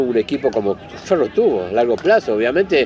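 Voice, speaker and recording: With an Argentine accent, a man talks at a moderate pace and lively intonation over noticeable background noise. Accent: Rioplatense Argentine Spanish. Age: 60s. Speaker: football club historian and fan. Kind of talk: interview. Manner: halting.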